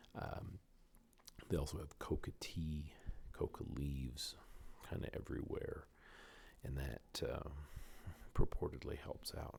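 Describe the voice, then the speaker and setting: Whispering, a man speaks at a fairly slow pace. Long, frequent pauses break up his speech. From Canada. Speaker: oral and maxillofacial surgeon. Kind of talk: casual podcast talk, travel recollection. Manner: whispered.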